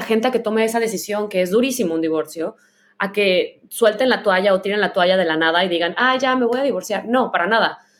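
The woman has an unremarkable speaking voice, pitched fairly high. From Mexico, Guadalajara, Jalisco. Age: 30s. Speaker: podcast host. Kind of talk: casual chat.

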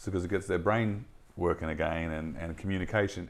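On a very clean recording with a silent background, a man with an Australian accent speaks at a fairly quick pace. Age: 30s. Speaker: podcast host. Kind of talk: casual chat.

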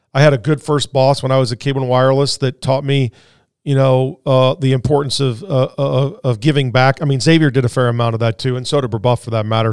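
In a normal speaking voice with an American accent, a man talks at a fairly quick pace, with medium pitch and fairly even intonation. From Indianapolis, US Midwest. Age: 50s. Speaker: business owner. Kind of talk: interview.

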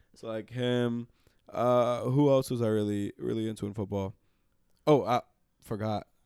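A man's dark, mellow voice holds fairly even intonation with long, frequent pauses in a dry, close sound with no echo. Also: medium pitch for a man, moderate pace. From New York, Dominican family. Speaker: podcast producer. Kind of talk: casual chat.

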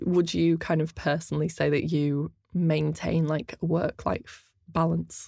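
A woman talks at a fairly slow pace with very even loudness and hardly any pauses. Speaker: brand ambassador and interviewer. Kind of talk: casual interview. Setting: studio.

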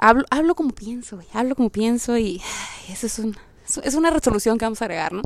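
Over noticeable background noise, a woman with a Mexican accent talks very fast in an animated, fairly high voice, with lively intonation and big swings in loudness. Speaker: podcaster. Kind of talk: casual monologue. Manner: direct.

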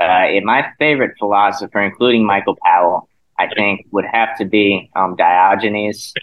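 The speaker uses a normal speaking voice at a moderate pace with very even loudness. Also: man, fairly low pitch for a man. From South Carolina. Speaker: graduate student. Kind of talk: casual chat.

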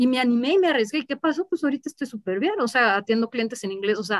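A woman's high-pitched voice in a dry, close sound with no echo. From Mexico, Mexico City and Guadalajara. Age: 30s. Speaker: marketing director. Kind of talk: interview.

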